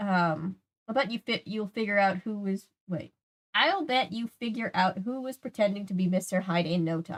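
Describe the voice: Over a quiet background, the plain reading aloud carries ordinary pitch variation.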